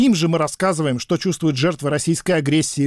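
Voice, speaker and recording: A man with a normal speaking voice, fairly quick and fairly even in intonation, in a dry, close sound with no echo and a very clean recording with a silent background. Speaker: investigative journalist. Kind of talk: scripted narration.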